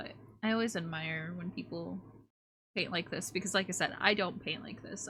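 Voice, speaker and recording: A woman with an American accent speaks at a moderate pace and fairly low pitch, with ordinary pitch variation. Her tone is bright and sharp, with vocal fry. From United States. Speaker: streamer and artist. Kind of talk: casual live-stream chat while drawing.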